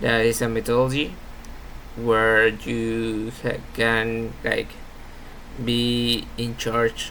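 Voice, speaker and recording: A man with a Spanish accent is heard with audible room echo and noticeable background noise. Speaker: university student. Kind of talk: class presentation. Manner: halting.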